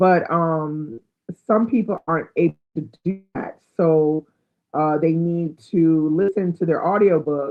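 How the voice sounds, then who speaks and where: The woman's pitch lies fairly low. It moves up and down in an ordinary way. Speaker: book YouTuber. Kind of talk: live stream chat. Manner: not fast.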